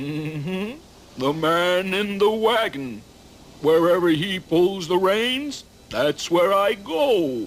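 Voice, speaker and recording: A man puts on a cartoonish character voice at a high pitch. He speaks very slowly. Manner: drawling, plain-spoken.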